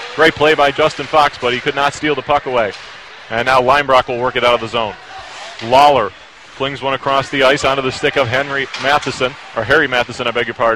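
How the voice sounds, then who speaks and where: An excited man at medium pitch and a very fast pace, with noticeable background noise. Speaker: college radio play-by-play announcer. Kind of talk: live ice hockey play-by-play commentary. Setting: broadcast booth at ice arena. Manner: rapid-fire, rising to excited shouts on goals; brisk, clipped puck-by-puck narration.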